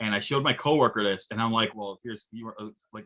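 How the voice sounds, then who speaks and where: This man has an American accent. He moves along at a fairly quick pace. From New York. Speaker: film interviewer. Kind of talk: casual interview. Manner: halting.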